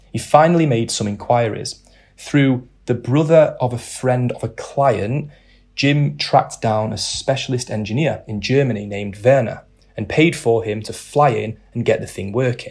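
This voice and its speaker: The very clean recording, with a silent background, captures a man whose voice is somewhat breathy. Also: medium pitch for a man, ordinary pitch variation, moderate pace. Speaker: narrator. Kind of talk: scripted literary narration, storytelling. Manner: measured, wry, polished storyteller pacing.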